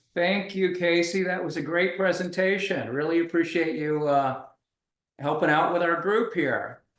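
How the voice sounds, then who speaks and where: A man's high-pitched voice at a fairly slow pace, fairly even in intonation, with audible room echo. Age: 50s. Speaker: group member. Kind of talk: casual chat. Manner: halting.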